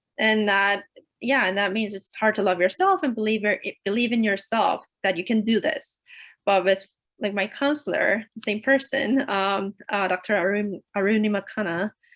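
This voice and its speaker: A woman speaks with a Korean accent. Her pace is moderate and her pitch varies in an ordinary way. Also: medium pitch for a woman. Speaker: PhD student panelist. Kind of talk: panel discussion.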